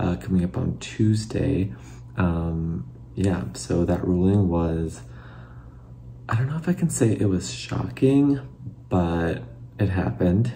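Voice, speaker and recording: Soft-spoken, with an American accent and a very deep, low pitch, a man talks at a very slow pace with long, frequent pauses and very wide pitch swings, amid noticeable background noise and audible room echo. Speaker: former figure skater turned commentator. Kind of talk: casual reaction video. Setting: at home, late at night. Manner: halting, many fillers.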